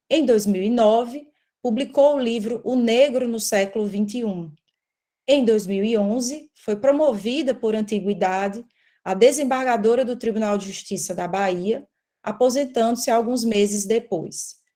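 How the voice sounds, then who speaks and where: A woman's fairly high, dark, mellow voice at a moderate pace with ordinary pitch variation. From Brazilian Northeast. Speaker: court analyst and law researcher. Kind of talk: academic presentation.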